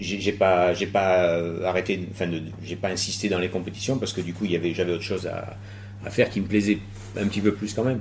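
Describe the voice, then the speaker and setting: Fairly low pitch from a man, monotone and flat, at a fairly quick pace broken by long, frequent pauses. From France, Bordeaux. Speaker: BMX rider and stunt performer. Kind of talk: casual interview. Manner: halting.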